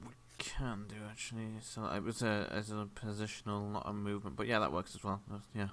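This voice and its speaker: A mumbling man's fairly low voice at a fairly quick pace, with fairly even intonation. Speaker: game master. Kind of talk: tabletop role-play session.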